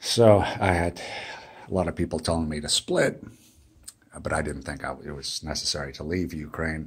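Against a quiet background, a man with a very deep, low pitch talks at a moderate pace with fairly even intonation and long, frequent pauses. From United States. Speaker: vlogger, digital nomad; travel vlogger. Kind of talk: casual vlog monologue; casual vlog chat. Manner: halting, many fillers. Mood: weary, mildly complaining.

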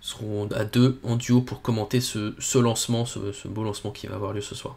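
The man's voice is somewhat breathy, with fairly even intonation. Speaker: space launch livestream host; livestream space launch commentator. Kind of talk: live commentary.

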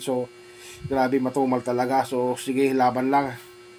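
Noticeable background noise sits behind a man's voice. He speaks at a medium pitch in a monotone, flat intonation. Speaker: vlogger and bread vendor. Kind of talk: vlog narration. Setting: outdoors on a mountain. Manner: casual, filler-heavy.

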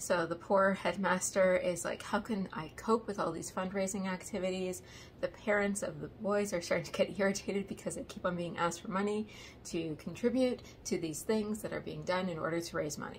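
A somewhat breathy woman's voice at a fairly quick pace, with fairly even intonation over light background noise. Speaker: book reviewer. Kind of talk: casual vlog chat. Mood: amused, wry. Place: home room. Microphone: phone near.

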